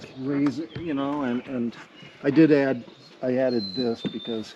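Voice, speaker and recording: A man talks at a medium pitch and a fairly slow pace, with ordinary pitch variation. His loudness swings widely over noticeable background noise. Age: 70s. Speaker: sailboat owner. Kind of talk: interview answer.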